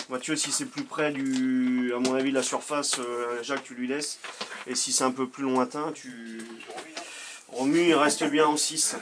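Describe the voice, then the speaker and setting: Against noticeable background noise, a man of medium pitch speaks at a fairly slow pace in a monotone, flat intonation. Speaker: amateur football coach. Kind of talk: pre-match team talk. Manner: hesitant, many fillers.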